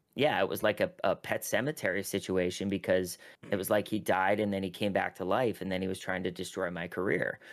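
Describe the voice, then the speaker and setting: A man with a very deep, low pitch speaks at a fairly quick pace and with fairly even intonation. The recording is very clean, with a silent background. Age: 30s. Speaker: talent manager. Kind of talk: podcast interview.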